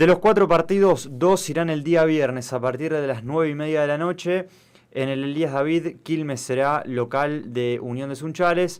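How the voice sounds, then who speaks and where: A plain, everyday voice from a man, fairly high in pitch, with ordinary pitch variation at a moderate pace. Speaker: radio sports host. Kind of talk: sports talk radio discussion. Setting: radio studio with live stream.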